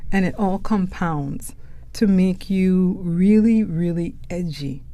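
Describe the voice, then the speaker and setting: In a Caribbean accent, a woman speaks at a medium pitch with a dark, mellow tone, and audible room echo surrounds her voice. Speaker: podcast host, poet. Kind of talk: reflective podcast monologue.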